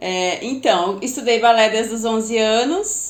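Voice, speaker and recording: A woman with a strong gaúcho accent, fairly high pitch and fairly slow pace, with audible room echo. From southern Brazil, Porto Alegre. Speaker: former professional ballet dancer and PBT tutor. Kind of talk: podcast interview.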